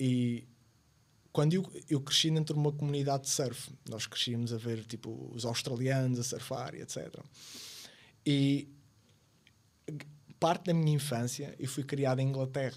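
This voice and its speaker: A man with a medium pitch and fairly even intonation talks at a moderate pace, broken by long, frequent pauses. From Madeira, Portugal. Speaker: podcast guest. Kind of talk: casual chat.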